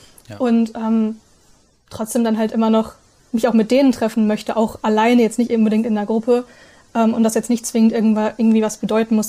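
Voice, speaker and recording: A woman talks very fast at a fairly high pitch. Her tone is dark and mellow, and somewhat breathy. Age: 20s. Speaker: polyamory content creator. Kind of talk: casual interview. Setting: video call.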